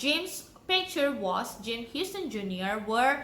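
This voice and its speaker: A woman with an Indonesian accent, her raised, projected voice bright and sharp in tone, very slow in pace, with very wide pitch swings and audible room echo. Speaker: YouTuber. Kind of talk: storytelling. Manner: halting.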